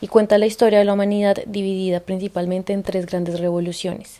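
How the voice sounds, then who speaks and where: Speech moves at a fairly quick pace in a dark, mellow tone. The intonation is monotone and flat. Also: woman. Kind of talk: casual spoken introduction to a reading.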